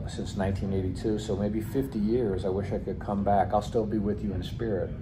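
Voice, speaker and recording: A man's fairly low voice with fairly even intonation, audible room echo and noticeable background noise. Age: 60s. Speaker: lawyer and founder of an international legal network. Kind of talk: interview. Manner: halting, many fillers and repetitions.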